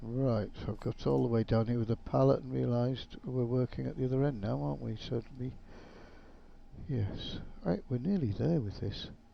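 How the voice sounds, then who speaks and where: Someone mumbles at a moderate pace with lively intonation. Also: man, medium pitch for a man. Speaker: gaming YouTuber. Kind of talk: gameplay commentary. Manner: mumbling.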